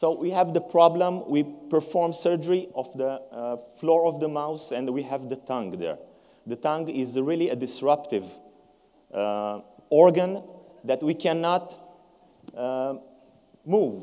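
The man speaks at a fairly slow pace, pausing long and often. His pitch moves in an ordinary way. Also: quiet background. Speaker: presenter. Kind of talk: conference presentation. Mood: cheerful, proud. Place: stage. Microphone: lapel.

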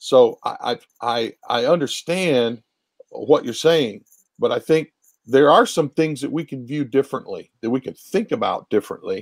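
With an American accent, a man talks at a moderate pace over a quiet background. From Ohio, Appalachian family roots. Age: 60s. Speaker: pastor. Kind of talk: conversational interview on ministry. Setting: remote video call. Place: home room. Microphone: earbuds.

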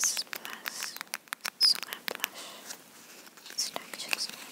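A woman is whispering. She goes at a very slow pace. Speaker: ASMR creator. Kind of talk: ASMR personal attention roleplay. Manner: soft-spoken. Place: home room. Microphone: phone near.

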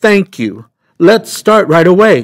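A man's put-on character voice, pitched high. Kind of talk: storybook read-aloud. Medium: read story. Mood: eager.

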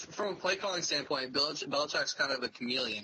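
There is light background noise behind a man. He speaks at a fairly quick pace. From Canada. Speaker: fantasy football writer and editor; podcast panelist. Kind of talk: casual chat. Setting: phone call. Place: home room. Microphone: video call.

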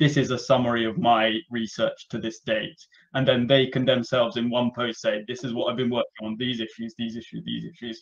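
A man's fairly quick, monotone delivery with flat intonation over a quiet background. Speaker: community member following cardiovascular research. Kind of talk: online community meeting. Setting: video call. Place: home room. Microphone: video call.

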